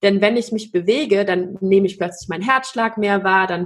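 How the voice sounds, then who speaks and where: A somewhat breathy woman's voice of medium pitch with ordinary pitch variation. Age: 30s. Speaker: consciousness coach and dance teacher. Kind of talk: interview about personal trauma and healing.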